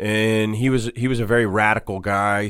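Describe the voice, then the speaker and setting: A man with an ordinary speaking voice and an American accent speaks at a moderate pace, his fairly low pitch held in fairly even intonation. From Boston. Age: 40s. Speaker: tattoo artist and shop owner. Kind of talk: casual interview. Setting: radio studio.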